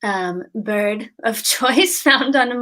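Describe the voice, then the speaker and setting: The voice has a bright, sharp tone and a Boston accent. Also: woman. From Boston, US. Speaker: English teacher. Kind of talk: casual chat on a live stream.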